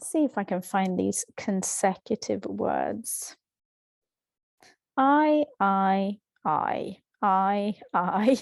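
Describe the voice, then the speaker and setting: A woman with a Swedish accent, in a dry, close sound with no echo. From Sweden. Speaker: language teacher. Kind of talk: tutorial. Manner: halting.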